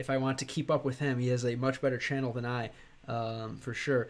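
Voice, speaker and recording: This man talks at a very fast pace. He has an American accent. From United States. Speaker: gaming streamer learning Russian. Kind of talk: live stream chat. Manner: hesitant, many fillers.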